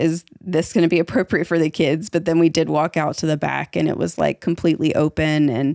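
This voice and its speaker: A woman's very deep, low voice with vocal fry, fairly quick and with hardly any pauses, fairly even intonation and very even loudness, dry and close with no echo on a very clean recording with a silent background. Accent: slight Southern. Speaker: podcast host. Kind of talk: casual chat. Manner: hesitant, many fillers.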